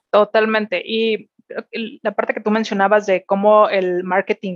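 A woman speaks in a Mexican accent. Her intonation is monotone and flat. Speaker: corporate executive. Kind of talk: interview. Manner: hesitant, many fillers and repetitions.

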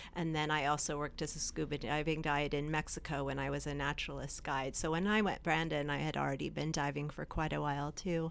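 A woman with a very deep, low pitch and vocal fry talks in a monotone, flat way at a very fast pace with hardly any pauses. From India and Hong Kong. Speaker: painter and muralist, former marine biologist. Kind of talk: casual interview.

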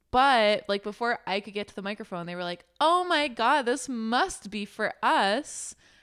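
Speaking with hardly any pauses, a woman with an unremarkable speaking voice keeps a moderate pace, her fairly high pitch carried by lively intonation, on a very clean recording with a silent background. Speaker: podcast co-host. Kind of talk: casual chat.

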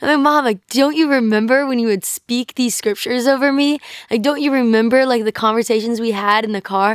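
With an American accent, a woman speaks in a high pitch at a fairly quick pace, her intonation fairly even. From US South, North Carolina. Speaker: guest sharing faith testimony. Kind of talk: testimony.

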